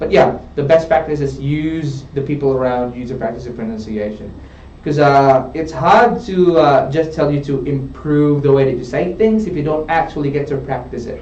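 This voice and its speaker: There is noticeable background noise and audible room echo around this man's voice. He has a non-native accent and a fairly high pitch, with ordinary pitch variation. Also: moderate pace. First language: not English. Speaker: English test tutor. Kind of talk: live tutoring session. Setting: studio.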